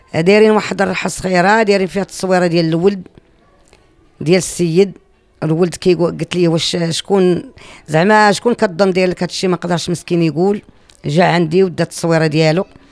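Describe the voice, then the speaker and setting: Faint music plays behind a woman who talks at a fairly quick pace with a fairly low pitch. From Morocco. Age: 50s. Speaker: YouTuber and cemetery-cleanup volunteer; YouTuber. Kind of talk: personal testimony. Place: home room. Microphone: handheld.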